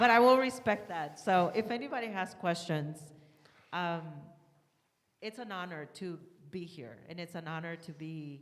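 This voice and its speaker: A woman with a fairly low pitch, lively intonation and big swings in loudness, speaking at a moderate pace with long, frequent pauses and audible room echo. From Texas. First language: not English. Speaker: political candidate. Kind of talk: candidate speech. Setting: church hall with audience.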